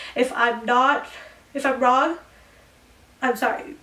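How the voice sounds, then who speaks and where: Over noticeable background noise, a woman speaks at a high pitch. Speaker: beauty youtuber. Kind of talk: casual chat. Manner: fast.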